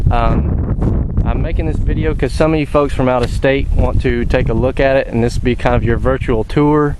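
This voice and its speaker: Amid noticeable background noise and audible room echo, a man talks at a moderate pace with very even loudness and hardly any pauses. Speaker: vehicle owner selling his truck. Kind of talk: product walkthrough video. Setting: outdoors. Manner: casual, hesitant with many fillers.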